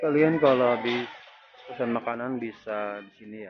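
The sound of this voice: A man's medium-pitched voice at a moderate pace, with ordinary pitch variation and audible room echo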